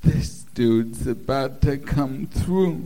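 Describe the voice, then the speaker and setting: At a very slow pace, a man talks in a dark, mellow tone. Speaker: stand-up comedian. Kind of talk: stand-up. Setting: stage with audience.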